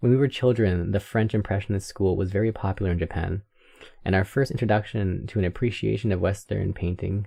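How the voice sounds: A natural reading voice, with pitch shifting in an ordinary way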